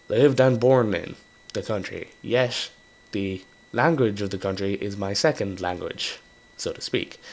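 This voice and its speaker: A man with an Irish accent, fairly low in pitch and fairly slow in pace, over noticeable background noise. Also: ordinary pitch variation. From Ireland. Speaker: gaming YouTuber. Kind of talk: casual gameplay commentary. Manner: rambling, hesitant with fillers.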